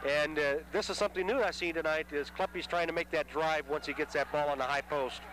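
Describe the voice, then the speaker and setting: A man talks at a very fast clip with a fairly high pitch, very even loudness and hardly any pauses, over noticeable background noise. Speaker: play-by-play sports announcer. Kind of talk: live commentary. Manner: animated.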